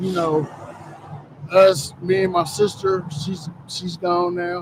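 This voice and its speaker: Over noticeable background noise, a man talks at a very slow pace in a high pitch with monotone, flat intonation. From US South. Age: 50s. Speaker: recovery program participant. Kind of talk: testimony.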